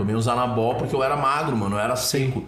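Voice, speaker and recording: Male voice with audible room echo and noticeable background noise. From southern Brazil, born in Curitiba. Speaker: social activist, founder of a charity kitchen. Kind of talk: casual interview chat. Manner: animated, slangy street talk.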